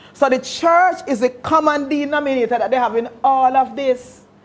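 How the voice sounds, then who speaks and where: A woman with a Jamaican accent talks at a moderate pace. Her voice is high-pitched, with ordinary pitch variation. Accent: Jamaican English with patois features. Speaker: pastor. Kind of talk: lecture. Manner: conversational, engaging.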